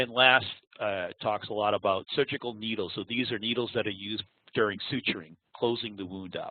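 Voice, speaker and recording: Speaking with a Boston accent, a man with a fairly low pitch talks at a fairly quick pace with fairly even intonation. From Boston area, US. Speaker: applications engineer. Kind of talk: webinar presentation. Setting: online webinar. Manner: halting, with many fillers.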